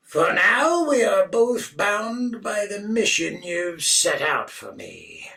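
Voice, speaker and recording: A man puts on a character voice at an extremely high pitch and talks at a very slow pace. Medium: read story. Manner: blank, flat, emotionless.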